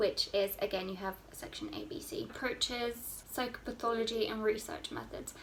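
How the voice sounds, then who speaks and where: A woman with an English accent speaks at a moderate pace with hardly any pauses and lively intonation. Her pitch is fairly high, and there is noticeable background noise. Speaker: student vlogger. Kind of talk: casual advice vlog.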